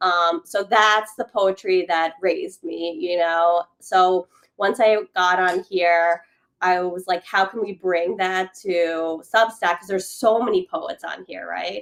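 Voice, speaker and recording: Speaking very slowly with a non-native accent, a woman of medium pitch uses fairly even intonation and big swings in loudness, in a dry, close sound with no echo. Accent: immigrant. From born abroad, immigrant to the US. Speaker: poet and playwright. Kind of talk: casual chat. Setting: livestream.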